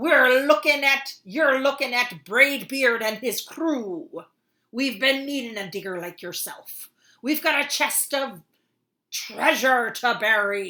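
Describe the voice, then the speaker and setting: A loud, bellowing put-on character voice at a fairly slow pace. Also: woman, high pitch for a woman. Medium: read story.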